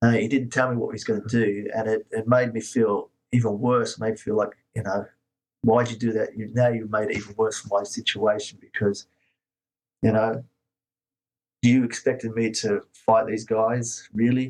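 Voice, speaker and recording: The voice has an Australian accent and a moderate pace. Its intonation is flat and monotone. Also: man, medium pitch for a man. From Australia (moved from Scotland as a baby). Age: 50s. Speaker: martial arts teacher. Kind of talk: interview.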